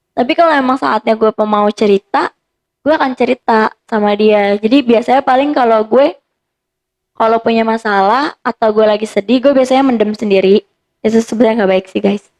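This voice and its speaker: A woman with a normal speaking voice talks at a fairly quick pace and fairly high pitch, with ordinary pitch variation, very even loudness and a dry, close sound with no echo. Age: 20s. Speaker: psychology student and karate athlete. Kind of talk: casual chat.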